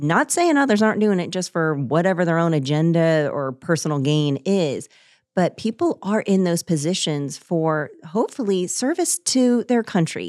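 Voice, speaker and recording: A woman with a normal speaking voice, fairly low in pitch, with lively intonation at a moderate pace, in a very clean recording with a silent background and a dry, close sound with no echo. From Orlando, Florida. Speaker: dietitian, podcast co-host. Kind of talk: casual interview. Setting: studio, in person.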